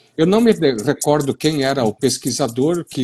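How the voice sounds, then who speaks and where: Speaking with a southern Brazilian accent, a man uses a fairly high pitch, lively intonation and a somewhat breathy voice at a moderate pace. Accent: gaúcho. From western Paraná, Brazil (gaúcho colony). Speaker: soil science professor. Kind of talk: live-stream discussion. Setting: online live stream.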